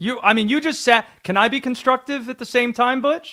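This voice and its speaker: Projecting his raised voice at an extremely high pitch, a man speaks at a fairly quick pace in a bright, sharp tone, recorded very cleanly against a silent background with a dry, close sound and no echo. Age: young. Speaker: sports radio host. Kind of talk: sports talk radio.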